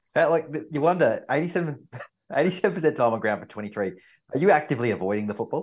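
Over a quiet background, a man with an Australian accent talks at a moderate pace in a fairly high pitch, with very wide pitch swings and vocal fry. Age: 30s. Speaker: fill-in co-host. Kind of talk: casual chat. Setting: video call.

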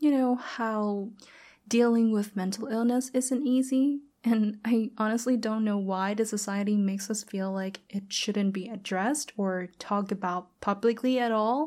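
The voice has a dark, mellow tone and a Thai accent. It moves at a fairly slow pace with ordinary pitch variation. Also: woman, very clean recording, silent background. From Thailand. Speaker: podcast host. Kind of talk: motivational monologue. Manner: animated.

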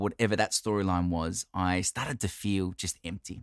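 An animated man with an Australian accent at a moderate pace, in a dry, close sound with no echo and a very clean recording with a silent background. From Australia, Italian-Australian family. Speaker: podcast host. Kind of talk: monologue, personal storytelling.

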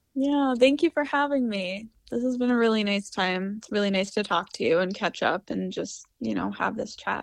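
With a plain, everyday voice, a woman talks at a moderate pace and fairly high pitch, with ordinary pitch variation, hardly any pauses, and a quiet background. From US, raised in Florida and Utah. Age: 20s. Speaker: singer and fire spinner. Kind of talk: casual interview. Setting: remote call.

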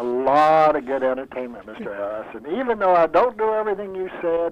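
A plain, everyday voice at a moderate pace. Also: man. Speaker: former radio announcer. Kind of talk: casual chat. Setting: phone call.

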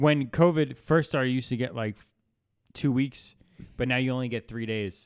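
At a fairly quick pace, a man with an unremarkable speaking voice talks at a medium pitch with ordinary pitch variation and big swings in loudness. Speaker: podcast co-host. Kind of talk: casual chat.

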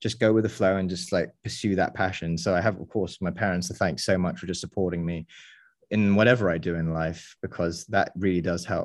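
Over a quiet background, a man with an English accent and a very deep, low pitch speaks at a fairly quick pace with fairly even intonation. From England. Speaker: videographer and former pole vaulter. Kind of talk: casual chat.

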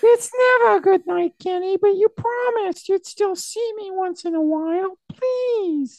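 A woman uses a put-on character voice at an extremely high pitch. She speaks at a moderate pace with hardly any pauses. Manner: desperate, pleading.

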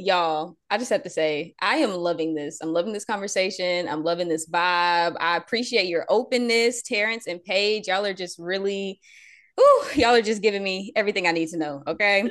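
With an animated, playful tone, a woman talks at a fairly quick pace, her medium pitch showing ordinary variation. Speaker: podcast host, mother. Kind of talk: casual chat.

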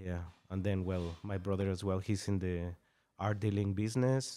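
A dark, mellow tone at a moderate pace, with a Mexican accent, on a very clean recording with a silent background. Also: man. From northern Mexico. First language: Spanish. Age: 30s. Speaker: tattoo artist. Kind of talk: casual interview. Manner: laughs often.

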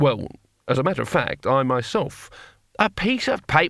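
A quiet background behind plain reading aloud.

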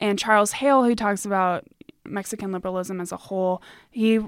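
A woman speaks with an American accent at a medium pitch. Her pitch varies in an ordinary way. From United States. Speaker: university student. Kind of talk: academic interview.

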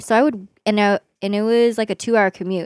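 At a fairly quick pace, a woman with an ordinary speaking voice and medium pitch is heard in a very clean recording with a silent background and a dry, close sound with no echo. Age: 20s. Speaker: nurse. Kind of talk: casual chat.

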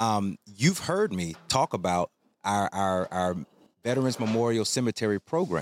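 In a very clean recording with a silent background, a man uses an ordinary speaking voice at medium pitch and a moderate pace, his intonation lively. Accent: American. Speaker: podcast host. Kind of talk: casual interview. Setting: on location outdoors.

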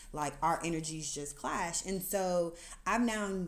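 In an American accent, a woman speaks slowly-ish at a fairly low pitch with fairly even intonation, and audible room echo surrounds her voice. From US, Atlanta area. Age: 30s. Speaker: podcast host. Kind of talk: testimony. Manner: casual, conversational.

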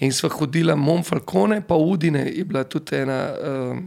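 A man with a fairly high pitch and ordinary pitch variation speaks in an ordinary speaking voice. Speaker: DJ and event organizer. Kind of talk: casual interview chat.

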